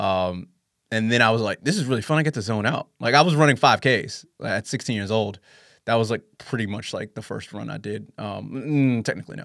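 Heard in a very clean recording with a silent background, a man with a New York accent speaks at a medium pitch and a fairly quick pace. His pitch varies in an ordinary way, while his loudness swings widely. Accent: New York American. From New York City. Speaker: running podcast host. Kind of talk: casual interview chat.

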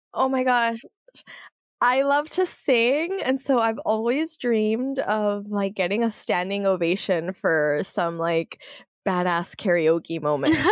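A woman's fairly high voice at a very slow pace, with very wide pitch swings and very even loudness over a quiet background. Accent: American. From US, San Jose and South Florida. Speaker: media founder and political analyst. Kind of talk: interview.

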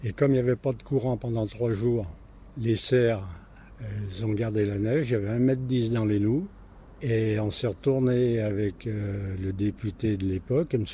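With long, frequent pauses, a man speaks in a dark, mellow, somewhat breathy tone at medium pitch and with ordinary pitch variation. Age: 80s+. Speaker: retired market gardener. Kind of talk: interview. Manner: halting.

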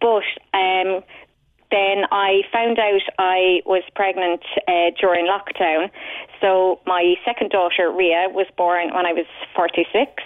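Speaking in a Cork accent, a woman has a medium pitch and a very slow pace. Her loudness stays very even, and her intonation is fairly even. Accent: Cork Irish. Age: 40s. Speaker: patient sharing illness experience. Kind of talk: radio phone-in testimony. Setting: phone call.

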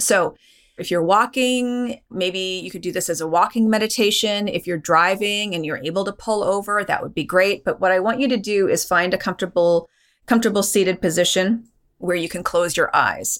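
A woman with a normal speaking voice talks at a moderate pace in a medium pitch with ordinary pitch variation, in a very clean recording with a silent background. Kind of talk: guided meditation.

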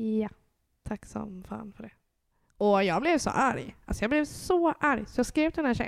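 A woman speaks in a normal speaking voice at a moderate pace, her pitch fairly high and her intonation lively, in a very clean recording with a silent background. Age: 20s. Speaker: mother sharing IVF experience. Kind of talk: casual interview.

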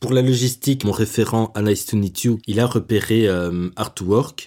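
The man's voice is somewhat breathy. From Belgium, Brussels. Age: 20s. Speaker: young jobseeker telling his life story. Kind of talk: personal testimony. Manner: hesitant, repeats words.

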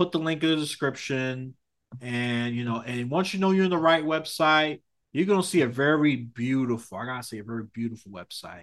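Speaking at a fairly quick pace, a man with a plain, everyday voice and a medium pitch uses lively intonation and big swings in loudness. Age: 30s. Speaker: podcast host. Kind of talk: casual chat.

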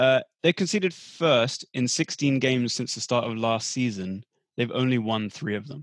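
A man speaks in a normal speaking voice at medium pitch and a moderate pace. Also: ordinary pitch variation, dry, close sound with no echo. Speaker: podcast host. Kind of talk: casual banter about football.

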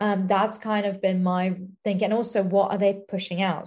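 The voice has a dark, mellow tone and is somewhat breathy. It is spoken in an English accent with monotone, flat intonation. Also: woman. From England. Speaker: scientist. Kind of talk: casual interview.

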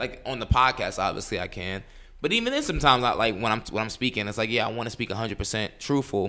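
Talking at a very fast pace, a man with a New York accent has a bright, sharp tone and fairly even intonation. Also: medium pitch for a man. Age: 20s. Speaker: attorney and podcast co-host. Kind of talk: casual chat. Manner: fast, filler-heavy speech.

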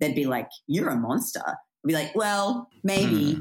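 A woman talks in an Australian accent. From Australia, country town. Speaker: comedian and journalist. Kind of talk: casual chat. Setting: London.

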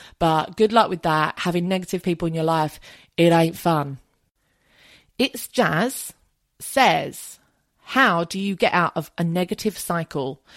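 Fairly slow speech with a southern English accent, long and frequent pauses, and ordinary pitch variation, in a dry, close recording with no echo, very clean with a silent background. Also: woman, fairly low pitch for a woman. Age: 30s. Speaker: podcast host. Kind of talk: casual monologue answering listener questions.

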